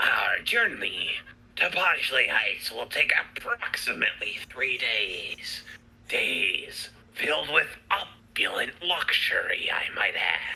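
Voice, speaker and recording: A put-on character voice at a fairly slow pace. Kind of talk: formal, opulent. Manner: pompous, grand.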